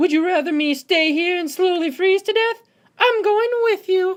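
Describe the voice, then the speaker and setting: Using a put-on character voice, a woman speaks at a moderate pace. Her voice is squeaky and extremely high-pitched. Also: ordinary pitch variation. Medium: audio drama.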